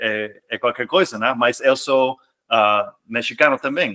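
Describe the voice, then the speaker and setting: A man with a non-native accent and a bright, sharp tone speaks at a medium pitch and a very slow pace. His intonation is lively, and the sound is dry and close with no echo. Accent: foreign accent in Portuguese. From US, California. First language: English (speaking Portuguese). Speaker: expatriate guest. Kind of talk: podcast interview. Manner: halting, many repetitions.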